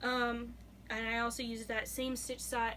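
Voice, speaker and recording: A woman speaks with audible room echo. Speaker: knitting vlogger. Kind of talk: casual show-and-tell vlog. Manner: fast; hesitant, many fillers.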